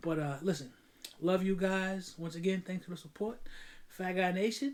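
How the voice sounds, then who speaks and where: A man speaks in a New York accent at a high pitch. His pitch variation is ordinary. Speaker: firearms YouTuber. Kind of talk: casual video outro. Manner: fast; stumbling over words.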